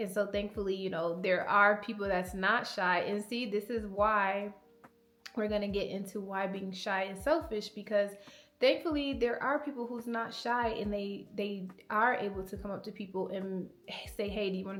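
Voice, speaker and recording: A soft-spoken woman talks at a moderate pace with a medium pitch and ordinary pitch variation. Audible echo fills the room around her. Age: 20s. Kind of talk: personal vlog monologue. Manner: casual, filler-heavy.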